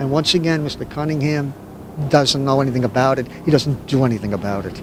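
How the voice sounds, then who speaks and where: Amid noticeable background noise, a man with an American accent and a fairly high voice speaks very fast, his pitch varying in an ordinary way. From Hoboken, New Jersey. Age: 60s. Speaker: city council candidate. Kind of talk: interview.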